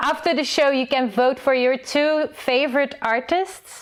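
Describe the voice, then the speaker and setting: This is a woman speaking. Her pace is fairly slow. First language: not English. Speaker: livestream host. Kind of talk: live show hosting.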